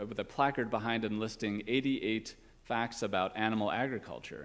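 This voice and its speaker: On a very clean recording with a silent background, a man speaks at a moderate pace. He has a plain, everyday voice at a medium pitch, with ordinary pitch variation. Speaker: guest minister. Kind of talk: sermon.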